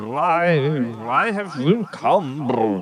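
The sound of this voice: A man speaks in a put-on character voice with a fairly high pitch.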